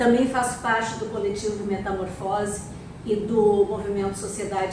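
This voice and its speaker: This woman speaks at a fairly slow pace, with audible room echo and noticeable background noise around her. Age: 60s. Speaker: architect and event speaker. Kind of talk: public talk at an event. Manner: halting, many fillers.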